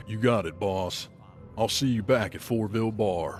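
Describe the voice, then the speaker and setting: Over clear background music, a man does a put-on character voice, fairly low in pitch, at a moderate pace. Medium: machinima. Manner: terse.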